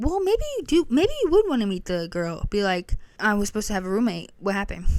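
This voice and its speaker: A woman rattles along at a very fast pace with a fairly high pitch. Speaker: podcast host reading online stories. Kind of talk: reading aloud with casual commentary.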